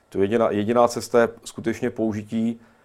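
A man is speaking. His pace is fairly quick. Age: 40s. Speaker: historian. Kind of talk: studio interview. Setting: studio. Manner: halting.

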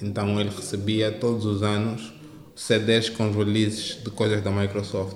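Amid noticeable background noise, a man speaks very slowly in a fairly low pitch with monotone, flat intonation. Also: very even loudness. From Angola, Luanda. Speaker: tech entrepreneur, startup founder. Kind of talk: interview. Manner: halting.

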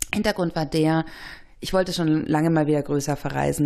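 A woman's very deep, low voice with a dark, mellow tone, fairly even intonation and a fairly quick pace. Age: 30s. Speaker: newspaper journalist. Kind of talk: casual chat.

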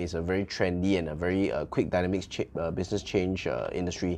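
A man with a very deep, low pitch and a dark, mellow tone speaks at a very fast pace in a monotone, flat delivery. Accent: Malaysian. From Malaysia, Subang, Kuala Lumpur area. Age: young. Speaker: bubble tea franchise owner. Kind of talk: interview. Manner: hesitant, many fillers.

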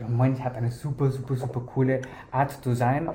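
A man with a non-native accent at a fairly slow pace, with audible room echo. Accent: foreign accent in German. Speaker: fashion designer and podcast host. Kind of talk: interview. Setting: office. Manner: halting, many fillers.

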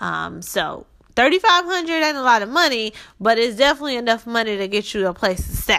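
A woman with a Southern US accent speaks at a fairly quick pace in a fairly high voice, her bright, sharp tone rising and falling in very wide pitch swings. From Shreveport, Louisiana. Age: 20s. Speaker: podcast host, credit consultant. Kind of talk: personal storytelling monologue. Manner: casual, chatty.

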